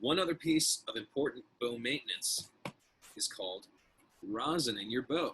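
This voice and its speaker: Long pauses come often as a man talks at a moderate speed. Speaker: music teacher. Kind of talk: tutorial.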